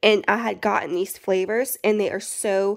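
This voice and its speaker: A woman speaks with a Southern US accent. Her voice sits at a medium pitch with fairly even intonation. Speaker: prepper YouTuber. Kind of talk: casual vlog haul. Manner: casual, chatty.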